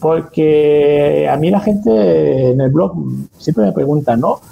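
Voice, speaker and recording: Somewhat breathy and dark, mellow in tone, a man speaks at a fairly high pitch with very wide pitch swings. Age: 40s. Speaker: freelance copywriter and blogger. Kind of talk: interview.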